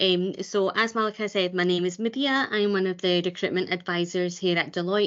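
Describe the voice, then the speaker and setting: The speaker has a Glasgow accent and a fairly quick pace. The intonation stays fairly even. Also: woman. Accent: Scottish (Glasgow). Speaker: recruitment advisor. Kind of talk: webinar presentation. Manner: fast.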